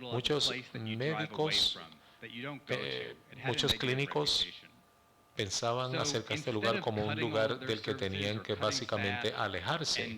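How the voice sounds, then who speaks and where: A man's medium-pitched voice at a fairly slow pace, with ordinary pitch variation and very even loudness, plus audible room echo and noticeable background noise. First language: English (speaking Spanish). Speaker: healthcare organization president. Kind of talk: conference presentation. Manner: halting.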